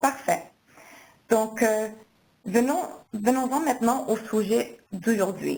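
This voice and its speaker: Speaking at a very slow pace with long, frequent pauses, a woman uses a fairly high pitch, a dark, mellow tone, vocal fry and ordinary pitch variation. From Quebec, Canada. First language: English (speaking French). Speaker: marketing manager, webinar host. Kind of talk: webinar introduction.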